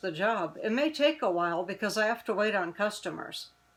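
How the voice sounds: The voice is a natural reading voice. Its intonation is lively.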